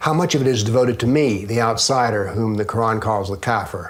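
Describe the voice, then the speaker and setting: A man's medium-pitched voice with a Southern US accent, fairly quick, with ordinary pitch variation. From US South. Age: 70s. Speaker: author and former professor. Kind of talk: interview.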